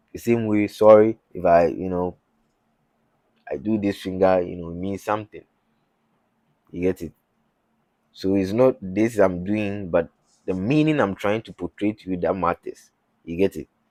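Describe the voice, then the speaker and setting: A man with a Ghanaian accent speaks at a moderate pace with long, frequent pauses, his fairly low voice dark and mellow with ordinary pitch variation. His loudness swings widely, and the sound is dry and close with no echo. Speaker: YouTuber. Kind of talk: religious talk. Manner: halting.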